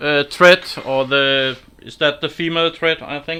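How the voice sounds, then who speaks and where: The speaker has a Danish accent. They talk at a fairly slow pace. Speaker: woodturner. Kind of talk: livestream tutorial. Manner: halting.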